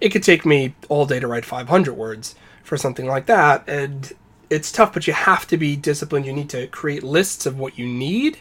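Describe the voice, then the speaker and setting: Fairly high in pitch, a man speaks in a normal speaking voice. He keeps a moderate pace and ordinary pitch variation. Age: 30s. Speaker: game designer. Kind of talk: casual chat.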